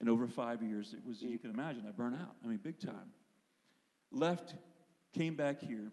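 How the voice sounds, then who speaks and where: In an American accent, the speaker uses lively intonation and a dark, mellow tone at a moderate pace, with long, frequent pauses. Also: man, medium pitch for a man. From Pennsylvania, US. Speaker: worship leader and singer. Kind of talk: testimony in church service.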